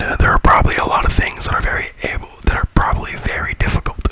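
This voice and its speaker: A whisper over noticeable background noise. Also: man. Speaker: ASMR creator. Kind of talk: ASMR whisper video. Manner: whispered; rambling, repetitive.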